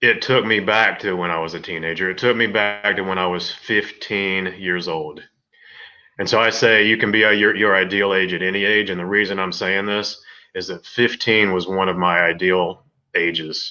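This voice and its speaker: Against a quiet background, a man with an American accent speaks at a moderate pace in a very deep, low voice with a bright, sharp tone. His intonation is flat and monotone. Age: 50s. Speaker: life coach. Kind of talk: personal vlog monologue. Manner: halting, repetitive.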